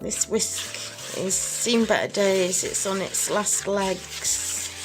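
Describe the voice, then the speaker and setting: With music in the background, a woman speaks at a very slow pace and medium pitch in a monotone, flat intonation. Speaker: soap and cosmetics maker. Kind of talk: tutorial talk to camera.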